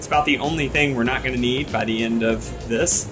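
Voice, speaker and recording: Over clear background music, a man speaks at a moderate pace with fairly even intonation. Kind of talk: tutorial. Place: home room.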